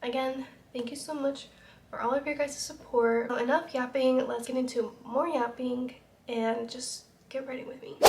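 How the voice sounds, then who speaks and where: A woman with an American accent speaks at a moderate pace in a high pitch. Her loudness swings widely while her intonation stays fairly even. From Utah. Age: 20s. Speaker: YouTuber. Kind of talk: casual get-ready-with-me vlog.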